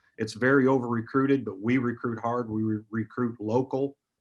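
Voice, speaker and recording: With a Midwestern US accent, a man talks at a fairly quick pace in a monotone, flat intonation. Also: quiet background. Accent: US Midwest. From Iowa. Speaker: college basketball coach. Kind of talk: interview.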